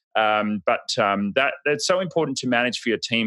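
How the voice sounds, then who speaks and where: Here is a man with a bright, sharp tone, lively intonation and a fairly quick pace. The recording is very clean, with a silent background and a dry, close sound with no echo. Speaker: podcast host. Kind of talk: casual chat. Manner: loud.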